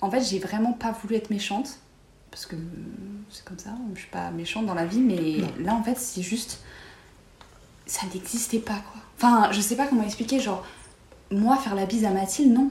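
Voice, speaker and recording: A woman with a fairly high pitch and ordinary pitch variation speaks with long, frequent pauses and big swings in loudness, amid noticeable background noise and audible room echo. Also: moderate pace. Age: 20s. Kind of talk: casual chat.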